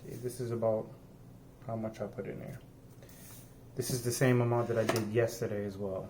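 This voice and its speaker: The man's tone is dark and mellow, somewhat breathy, with a monotone, flat intonation. His speech is broken by long, frequent pauses. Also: medium pitch for a man, fairly quick pace. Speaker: home cooking vlogger. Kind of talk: cooking tutorial. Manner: soft-spoken; halting.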